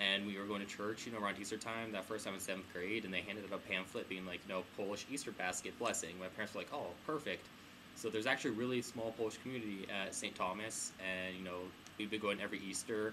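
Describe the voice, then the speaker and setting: Speaking very fast with a Midwestern accent, a man keeps a fairly low pitch and fairly even intonation. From US Midwest, Kansas (Wichita). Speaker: student interviewee. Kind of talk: interview.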